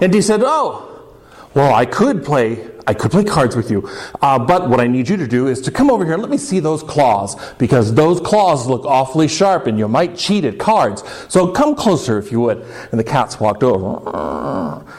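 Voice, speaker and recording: Noticeable background noise sits behind a man with a fairly high pitch. His pitch swings very widely. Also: moderate pace. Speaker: storyteller. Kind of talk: live folktale storytelling. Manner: casual, humorous.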